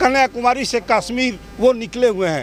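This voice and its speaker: A man with an extremely high pitch and ordinary pitch variation is heard over noticeable background noise. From Bihar, India. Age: 60s. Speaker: party volunteer at a political march. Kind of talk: street interview.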